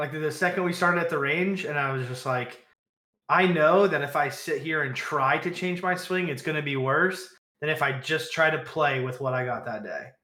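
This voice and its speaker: Room echo is audible around a man with a fairly high pitch. He keeps a moderate pace with ordinary pitch variation. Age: 30s. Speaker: golf podcast co-host. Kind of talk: casual chat. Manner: frequent filler words.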